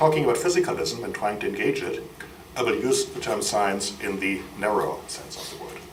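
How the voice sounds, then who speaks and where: A man with a German accent at a moderate pace, audible room echo and noticeable background noise around him. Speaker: friar and biochemist. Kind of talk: lecture. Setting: university lecture hall with audience.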